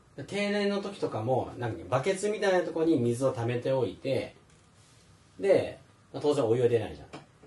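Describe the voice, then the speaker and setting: A man speaks at a moderate pace in a fairly high pitch. His pitch swings very widely over noticeable background noise. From Philippines (Manila), half Filipino. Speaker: podcast host. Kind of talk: casual chat.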